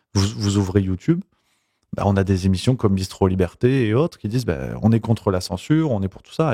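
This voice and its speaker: A man speaks at a fairly quick pace with lively intonation and a dark, mellow tone. The sound is dry and close, with no echo. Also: very clean recording, silent background. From southern France, Provence. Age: 20s. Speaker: YouTuber. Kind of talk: interview. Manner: hesitant, many repetitions.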